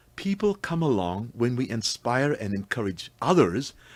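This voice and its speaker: A man with a slight South African accent and very wide pitch swings. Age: 70s. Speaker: senior long-distance walker and runner. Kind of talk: radio interview, casual chat.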